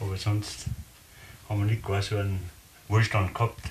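A man's fairly low pitch at a moderate pace, with monotone, flat intonation over light background noise. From Austria. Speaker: contemporary witness. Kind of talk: interview. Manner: halting. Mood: relaxed, reminiscing. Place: home room. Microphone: camera far.

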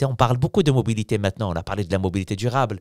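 A man with ordinary pitch variation, dry sound with no echo and a quiet background. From Morocco. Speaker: opposition member of parliament; politician guest. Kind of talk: casual interview. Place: studio. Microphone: studio mic.

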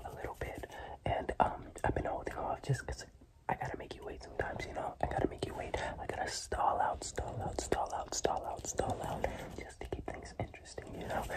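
Whispering at a fairly quick pace, a man speaks in a relaxed tone. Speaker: ASMR creator. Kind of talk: ASMR whispered talk to camera. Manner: soft, relaxed.

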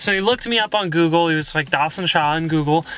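The man talks at a very fast pace, and the sound is dry with no echo. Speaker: vlogger. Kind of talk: casual vlog chat. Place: car. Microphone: phone near.

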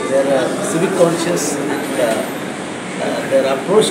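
Loud background noise sits behind a man speaking with ordinary pitch variation. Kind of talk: interview answer. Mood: calm, pleased. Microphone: handheld.

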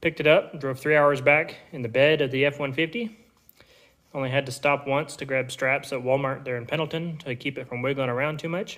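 The background stays quiet. A man talks at a moderate pace. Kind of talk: casual vlog chat. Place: workshop. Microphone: phone near.

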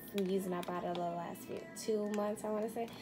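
Background noise is noticeable here. A woman does the talking. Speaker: home vlogger. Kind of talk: casual vlog chat. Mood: cheerful, laughing. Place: kitchen. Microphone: phone near.

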